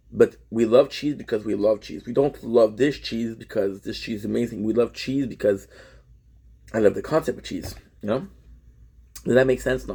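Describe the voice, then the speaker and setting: A dark, mellow voice with vocal fry moves at a moderate pace, with ordinary pitch variation and long, frequent pauses. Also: man, medium pitch for a man. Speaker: vlogger. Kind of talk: casual vlog monologue.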